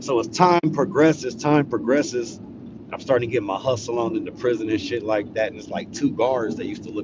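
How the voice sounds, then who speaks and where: A man speaks with an American accent. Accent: West Coast, sounds proper to Texans. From California, Los Angeles. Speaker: live streamer, storyteller. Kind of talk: casual live-stream storytelling. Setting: live stream.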